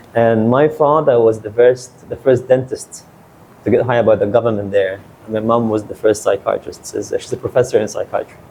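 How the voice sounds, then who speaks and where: Noticeable background noise sits behind a man's medium-pitched voice. He speaks at a moderate pace with flat, monotone intonation. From Saudi Arabia, then Egypt from age eleven. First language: Arabic. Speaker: lawyer. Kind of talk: podcast interview. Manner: casual, with frequent fillers and repetitions.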